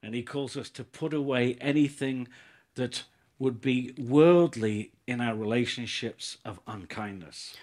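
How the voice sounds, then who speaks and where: On a very clean recording with a silent background, a man speaks at a medium pitch and a very slow pace. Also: ordinary pitch variation. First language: English (speaking Turkish). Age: 60s. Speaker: visiting pastor. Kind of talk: sermon. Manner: slow, in short sentences for an interpreter.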